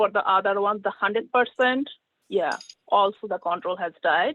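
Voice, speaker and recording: Here is a woman with a plain, everyday voice. Her pitch sits at a medium level with ordinary pitch variation. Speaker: plant pathology research scientist. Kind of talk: conference presentation with Q&A.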